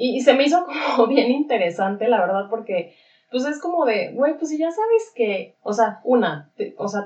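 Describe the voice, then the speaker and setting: Speaking with a Mexican accent, a woman has a high pitch and very wide pitch swings. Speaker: podcast co-host. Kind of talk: casual chat.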